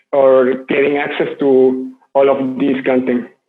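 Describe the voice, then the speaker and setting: A man with a Spanish accent, fairly high in pitch, at a fairly slow pace. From Mexico. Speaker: open-source community contributor. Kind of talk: conference talk.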